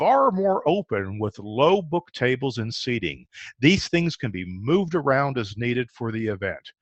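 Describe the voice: The delivery here is plain reading aloud.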